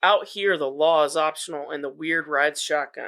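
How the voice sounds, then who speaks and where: In a gravelly, put-on character voice, a man speaks at a fairly high pitch with fairly even intonation and a moderate pace over a quiet background. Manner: dramatic.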